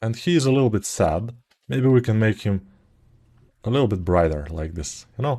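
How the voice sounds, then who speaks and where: Lively intonation and a non-native accent come through against a quiet background. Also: man. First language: not English. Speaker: sculpting tutor. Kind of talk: tutorial. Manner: casual, hesitant with fillers.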